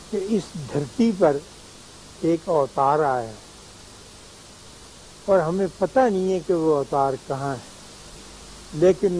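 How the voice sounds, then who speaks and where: A man's fairly high voice with lively intonation and a calm tone, over noticeable background noise. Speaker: writer, philosopher and spiritual teacher. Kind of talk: television talk / conversational lecture. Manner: calm, reflective.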